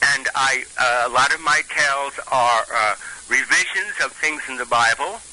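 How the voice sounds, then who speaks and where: A man with a fairly high pitch talks at a moderate pace with ordinary pitch variation, amid noticeable background noise. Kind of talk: phone interview. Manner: halting.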